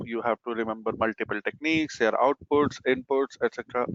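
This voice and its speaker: Man at medium pitch. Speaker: certification exam trainer. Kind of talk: live webinar presentation. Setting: video conference webinar. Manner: fast.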